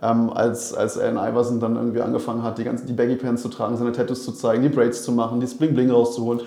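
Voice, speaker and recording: Amid noticeable background noise and audible room echo, a man rushes along at a very fast pace with hardly any pauses, in a medium pitch with monotone, flat intonation. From Berlin. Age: 30s. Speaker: basketball club manager. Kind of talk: casual chat.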